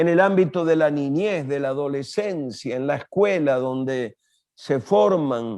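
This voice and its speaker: A man's voice against a quiet background. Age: 70s. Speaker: pastor and international speaker. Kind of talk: interview.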